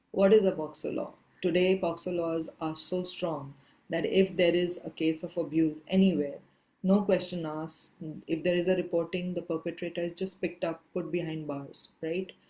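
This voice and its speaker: Soft-spoken, a woman talks at a moderate pace in a fairly low voice with a dark, mellow tone. Her intonation stays monotone and flat. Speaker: activist and filmmaker. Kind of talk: masterclass talk. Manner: trailing off in volume. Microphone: too quiet.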